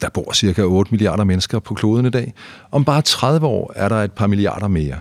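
Fairly low-pitched male voice with very wide pitch swings at a moderate pace, dry and close with no echo. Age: 50s. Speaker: journalist and podcast host. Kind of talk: casual chat.

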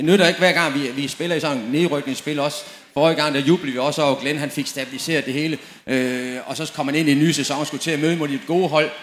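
A man with a fairly high pitch speaks at a very fast pace with fairly even intonation, amid audible room echo and noticeable background noise. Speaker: former professional footballer. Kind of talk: panel discussion on stage. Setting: tent with live audience.

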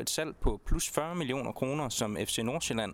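At a moderate pace, a man talks with a fairly high pitch in an unremarkable speaking voice. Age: young. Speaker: sports reporter. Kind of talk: interview. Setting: outdoors.

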